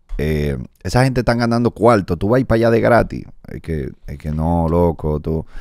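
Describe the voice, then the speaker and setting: A man talks at a moderate pace in a very deep, low voice with very wide pitch swings. The sound is dry with no echo, and the background is quiet. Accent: Dominican. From Dominican Republic. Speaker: comedian and podcast host; comedian, podcast host. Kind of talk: casual interview chat. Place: studio. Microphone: studio mic.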